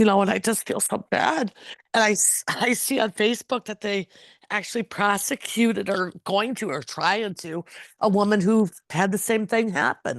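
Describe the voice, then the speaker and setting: In a normal speaking voice, a woman talks at medium pitch and a moderate pace with ordinary pitch variation, the sound dry and close with no echo against a quiet background. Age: 60s. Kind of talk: interview answer.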